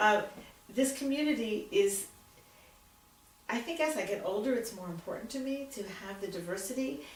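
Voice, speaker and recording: Over noticeable background noise and audible room echo, a woman with an American accent speaks at a moderate pace and a fairly high pitch, her intonation lively, her loudness swinging widely, with long, frequent pauses. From Philadelphia, Pennsylvania. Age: 70s. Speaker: retired teacher. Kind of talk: oral history interview. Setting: at her home.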